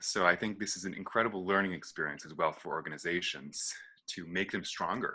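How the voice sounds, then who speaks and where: A man's bright, sharp voice with vocal fry at a fairly quick pace. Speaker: arts manager panelist. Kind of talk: panel discussion. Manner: fast.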